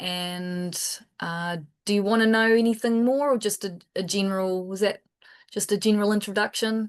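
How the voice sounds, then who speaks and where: A woman with a New Zealand accent speaks at a moderate pace and medium pitch, with fairly even intonation over a quiet background. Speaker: biological control researcher. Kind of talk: panel Q&A. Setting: video call webinar.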